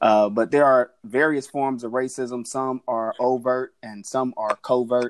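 Using an ordinary speaking voice, a man with an American accent speaks at medium pitch with fairly even intonation and hardly any pauses. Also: dry, close sound with no echo. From Oklahoma. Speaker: pastor. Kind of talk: panel discussion.

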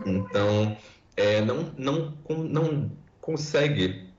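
A man's fairly high voice with very wide pitch swings, at a very slow pace amid audible room echo. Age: 20s. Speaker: environmental scientist. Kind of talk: podcast interview.

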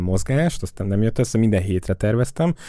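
Very fast and dark, mellow in tone, a man's voice moves with ordinary pitch variation. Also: very clean recording, silent background. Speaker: podcast host. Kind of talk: casual chat.

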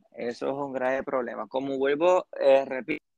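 A man speaks with a fairly high pitch and ordinary pitch variation, recorded with a dry, close sound and no echo. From Puerto Rico. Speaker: church youth member. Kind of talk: casual interview. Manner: halting.

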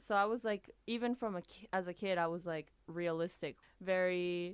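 Pitched fairly low, a woman with a normal speaking voice talks with ordinary pitch variation. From Japan (Tokyo), mixed Japanese-American. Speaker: singer and music producer. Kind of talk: casual interview chat.

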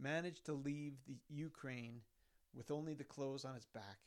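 A man speaks with an Albertan accent. His pitch is fairly high, with ordinary pitch variation. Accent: Canadian (Alberta). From Sherwood Park, Alberta, Canada. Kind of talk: reading aloud. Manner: emphatic.

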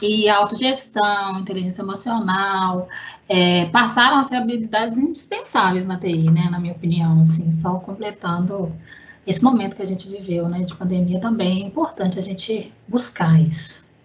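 A woman's medium-pitched voice, with ordinary pitch variation, comes at a moderate pace against noticeable background noise. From Belo Horizonte, Minas Gerais, Brazil. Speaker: IT analyst. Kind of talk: casual chat.

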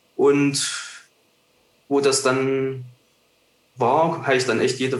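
At a very slow pace, a man speaks in a medium pitch. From Thuringia, Germany. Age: 20s. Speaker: wildlife photographer. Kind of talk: casual interview.

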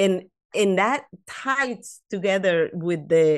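A woman with a Latin American accent speaks against a quiet background. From South America. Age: 50s. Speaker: author and life coach. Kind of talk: casual interview.

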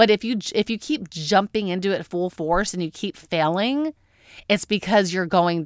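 An ordinary speaking voice at a fairly slow pace, with ordinary pitch variation and a dry, close sound with no echo, in a very clean recording with a silent background. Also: woman. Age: 30s. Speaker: podcast host. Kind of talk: solo podcast monologue.

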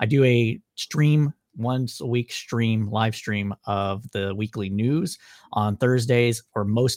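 On a very clean, dry and close recording with a silent background and no echo, a man with an American accent uses a normal speaking voice at medium pitch and ordinary pitch variation. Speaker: political podcaster. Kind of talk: debate.

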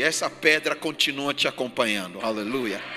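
A man talks at a moderate speed against crowd noise in the background. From Ghana. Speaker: pastor. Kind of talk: sermon. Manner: repetitive, emphatic preaching.

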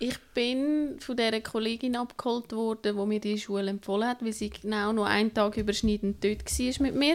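With a plain, everyday voice, a woman talks at a moderate pace and fairly high pitch, keeping fairly even intonation and hardly any pauses. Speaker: traveller. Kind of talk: casual chat.

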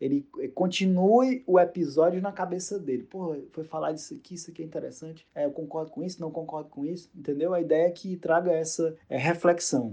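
A man speaks at a high pitch in a dark, mellow tone. He goes at a fairly quick pace with hardly any pauses and big swings in loudness. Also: ordinary pitch variation. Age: 30s. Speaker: journalist and podcaster. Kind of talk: interview answers, casual.

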